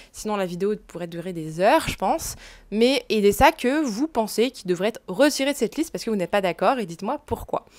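A woman's fairly high pitch and lively intonation at a fairly quick pace, over a quiet background. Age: 20s. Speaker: fashion YouTuber and luxury reseller; fashion vlogger. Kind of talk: casual vlog to camera. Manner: casual with fillers. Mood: chatty, opinionated. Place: home room. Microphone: lapel.

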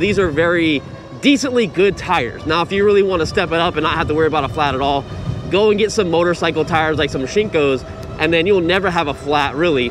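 Faint music plays behind a man talking at a very fast pace. His pitch varies in an ordinary way, and the sound is dry with no echo. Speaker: e-bike reviewer. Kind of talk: casual ride-along commentary. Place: bicycle.

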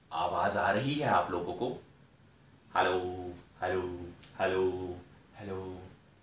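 Over light background noise and audible room echo, a man with a very deep, low pitch speaks at a very slow pace. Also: ordinary pitch variation. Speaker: performer or host. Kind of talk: mic check to audience. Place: hall.

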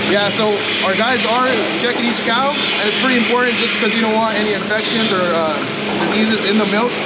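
A man talks at a very fast pace. Loud background noise runs underneath. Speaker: dairy farm manager. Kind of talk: farm tour explanation. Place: farm machine. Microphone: phone near.

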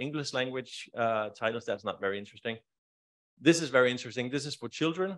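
The speaker has a Danish accent and moves at a fairly quick pace. Pitch varies in an ordinary way over a quiet background. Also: man. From Denmark. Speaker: library e-lending negotiator; conference presenter. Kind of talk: conference presentation. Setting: stage with audience. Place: hall.

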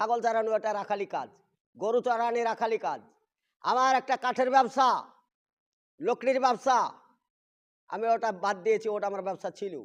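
Against a quiet background, a man speaks in an animated tone. His pitch sits extremely high. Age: old. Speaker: Islamic preacher. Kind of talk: religious talk on a livestream. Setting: live stream.

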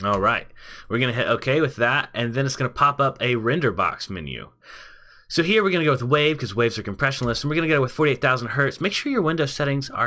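A man speaks very fast at a medium pitch with lively intonation. His tone is bright and sharp. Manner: casual, conversational.

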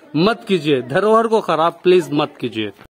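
At a fairly slow pace, a man speaks with a high pitch.

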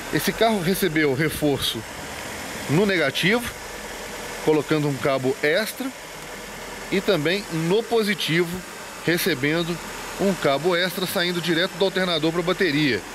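The speaker keeps a moderate pace and very even loudness, with ordinary pitch variation, long, frequent pauses and noticeable background noise. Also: man, high pitch for a man. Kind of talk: casual walkthrough commentary. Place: workshop. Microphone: phone near.

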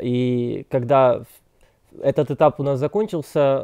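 A man's dark, mellow voice over a quiet background. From Krasnoyarsk, Russia. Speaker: migrant guest. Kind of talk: interview answers. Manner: formal. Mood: calm, earnest. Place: home room. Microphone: lapel.

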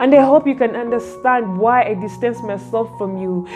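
Lively intonation at a moderate pace over clear music in the background. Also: woman. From Africa. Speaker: poet. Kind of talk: spoken word poetry. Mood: wistful, dramatic. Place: home room. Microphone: phone near.

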